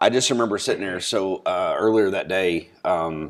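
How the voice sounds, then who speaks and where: The recording is very clean, with a silent background. A man speaks at a moderate pace in a very deep, low pitch with fairly even intonation. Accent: American. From Long Island, New York. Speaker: podcast host. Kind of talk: casual chat. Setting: sitting down with drinks.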